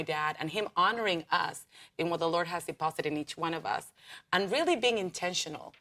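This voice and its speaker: Fairly quick and in a Spanish accent, a woman talks with a bright, sharp tone at a fairly low pitch. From Argentina, Buenos Aires. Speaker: pastor. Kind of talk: interview; exhortation.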